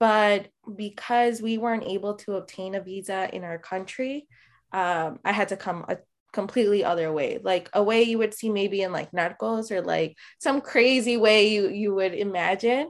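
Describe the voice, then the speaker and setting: A woman speaks in a Midwestern American accent at a moderate pace. Her pitch is medium with ordinary variation, against a quiet background. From Chicago. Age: 20s. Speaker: DACA recipient sharing story. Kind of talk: casual interview.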